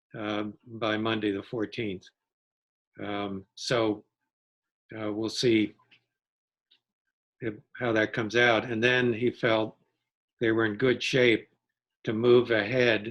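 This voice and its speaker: The delivery is very slow and monotone, with flat intonation. Long pauses come often. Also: man, medium pitch for a man. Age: 70s. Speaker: town energy committee member. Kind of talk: casual chat.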